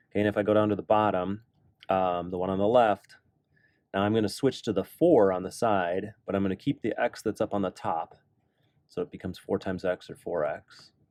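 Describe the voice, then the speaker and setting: Recorded dry and close with no echo, a man with a plain, everyday voice talks at a fairly quick pace and a fairly low pitch, with ordinary pitch variation. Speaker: math teacher. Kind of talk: tutorial. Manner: casual.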